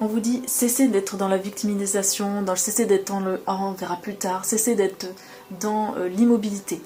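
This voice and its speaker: A woman with a medium-pitched voice keeps her intonation fairly even as music plays in the background. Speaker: tarot reader and spiritual channeler. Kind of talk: tarot reading guidance. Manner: fast.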